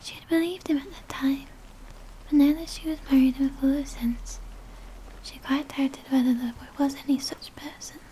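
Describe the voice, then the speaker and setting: A soft-spoken woman's high-pitched voice, moderate in pace with long, frequent pauses, fairly even intonation and big swings in loudness, over noticeable background noise. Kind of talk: audiobook-style reading of a children's novel. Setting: close-up ASMR recording with page turning.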